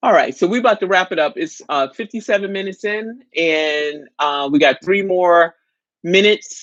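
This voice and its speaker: A woman with a New York accent speaks in an animated tone with lively intonation. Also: medium pitch for a woman, moderate pace. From New York City. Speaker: live chat host. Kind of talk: casual live stream chat.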